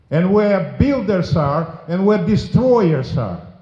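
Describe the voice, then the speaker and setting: This man speaks at a very slow pace with a high pitch and lively intonation. Room echo can be heard. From former Soviet Union. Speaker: politician. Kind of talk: memorial speech. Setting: memorial service with audience. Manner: forceful.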